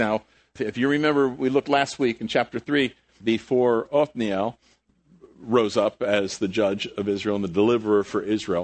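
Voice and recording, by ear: A man speaks at a moderate pace in a fairly low voice, his intonation fairly even.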